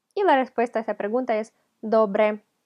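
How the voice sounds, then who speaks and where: Recorded with a dry, close sound and no echo, a woman speaks in a fairly high pitch with a non-native accent. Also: quiet background. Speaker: language teacher. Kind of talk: tutorial.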